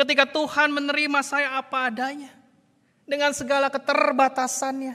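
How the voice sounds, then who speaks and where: In a West Javanese accent, a man uses a raised, projected voice at an extremely high pitch with monotone, flat intonation. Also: moderate pace. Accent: Sundanese. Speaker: pastor. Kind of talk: sermon.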